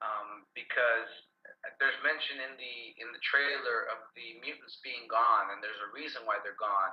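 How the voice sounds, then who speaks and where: Speaking at a moderate pace is a man. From Los Angeles, US, with childhood years in Colombia and Guatemala. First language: Spanish. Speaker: actor. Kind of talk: interview. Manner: conversational with some repetitions.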